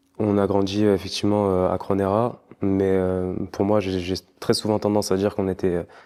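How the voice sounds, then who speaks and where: The tone is dark and mellow, delivered at a moderate pace with very even loudness. Intonation stays monotone and flat. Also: man, fairly low pitch for a man. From France, Clermont-Ferrand. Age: 20s. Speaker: dentist and kickboxer. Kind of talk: interview. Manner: hesitant, many fillers.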